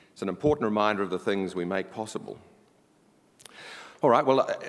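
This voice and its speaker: A man with a strong New Zealand accent and a fairly low pitch talks at a very fast pace. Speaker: board chair of an internet organisation. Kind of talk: conference opening speech. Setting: stage with audience. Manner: formal.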